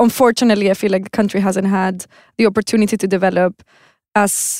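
Speaking at a very fast pace, a woman of medium pitch keeps a monotone, flat intonation with a dry, close sound with no echo. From Venezuela. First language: Spanish. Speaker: textile designer. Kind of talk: casual chat.

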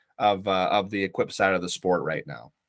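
A bright, sharp-toned man with an American accent is heard on a very clean recording with a silent background. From Ohio, US Midwest. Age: 30s. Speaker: competitive bench presser, Marine Corps veteran. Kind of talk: interview.

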